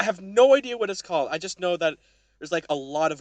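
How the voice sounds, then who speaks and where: Against a quiet background, a man speaks at a fairly quick pace in an animated tone. The sound is dry and close with no echo. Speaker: gaming podcast co-host. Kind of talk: casual chat.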